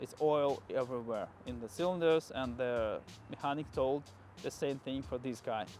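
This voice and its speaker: A man with a non-native accent over music in the background. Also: medium pitch for a man, ordinary pitch variation, moderate pace. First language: not English. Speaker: car YouTuber. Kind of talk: casual vlog storytelling. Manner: halting.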